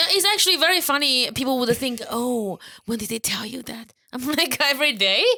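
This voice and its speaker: A woman talks at a fairly quick pace in a high pitch. Her voice is raised and projected, with a bright, sharp tone. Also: lively intonation. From China. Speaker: comedian. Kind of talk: casual chat.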